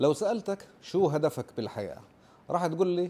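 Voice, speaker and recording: The tone is dark and mellow. The pace is moderate. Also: man. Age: 40s. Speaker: nurse and YouTuber; YouTuber. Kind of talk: informal explainer video. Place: home room. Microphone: lapel.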